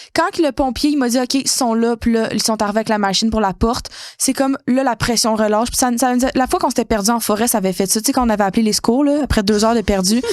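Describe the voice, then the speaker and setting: A woman's fairly high voice at a very fast pace, with hardly any pauses, very even loudness and ordinary pitch variation. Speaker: podcast co-host. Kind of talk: casual chat, personal story. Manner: animated.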